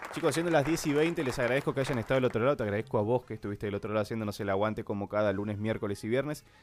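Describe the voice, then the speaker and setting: Very fast pace with hardly any pauses. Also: man, medium pitch for a man, ordinary pitch variation. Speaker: radio host. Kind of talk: live radio show.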